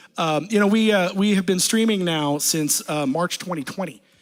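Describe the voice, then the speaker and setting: The recording is very clean with a silent background. A loud man with a high voice speaks with ordinary pitch variation. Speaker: a cappella group singer. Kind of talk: casual stage banter between songs. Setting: livestream from a basement. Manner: halting, many fillers.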